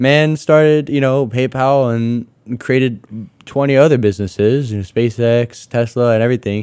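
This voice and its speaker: Moderately paced and fairly even in intonation, a man of medium pitch talks in an unremarkable speaking voice. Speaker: university student entrepreneur. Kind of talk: interview. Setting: studio. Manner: casual with many fillers.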